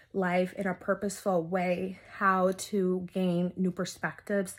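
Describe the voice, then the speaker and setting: An unremarkable speaking voice at a fairly slow pace, in a very clean recording with a silent background. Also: woman. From US, raised by Dominican family (moved at two). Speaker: mental health therapist. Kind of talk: interview testimony.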